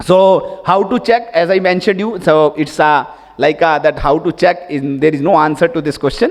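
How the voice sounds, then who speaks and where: This man speaks with an Indian accent at a high pitch, using ordinary pitch variation. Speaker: tax expert, conference speaker. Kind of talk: conference presentation. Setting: stage with audience. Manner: fast.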